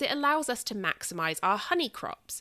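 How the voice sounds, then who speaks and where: Heard in a very clean recording with a silent background and a dry, close sound with no echo, a woman with a southern English accent uses a bright, sharp tone, very wide pitch swings and a moderate pace. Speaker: podcast host. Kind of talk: podcast monologue, book discussion.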